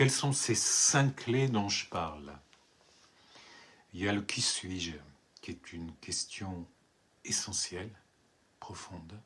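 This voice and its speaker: A man's very deep, low voice at a very slow pace, with lively intonation, big swings in loudness, and long, frequent pauses. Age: 70s. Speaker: writer and poet. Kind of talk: book presentation monologue. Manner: hesitant, repeats words.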